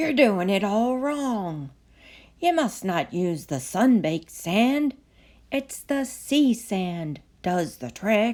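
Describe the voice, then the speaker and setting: In a put-on character voice, a female-sounding speaker goes very slowly at a medium pitch, gruff and rumbling, on a very clean recording with a silent background. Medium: read story. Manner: gruff, grumbling.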